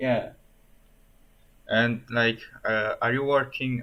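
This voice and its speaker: In a monotone, flat intonation, a man speaks at a very slow pace. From Italy. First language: Italian. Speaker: coding streamer. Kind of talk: casual live stream chat. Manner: halting, many fillers and repeats.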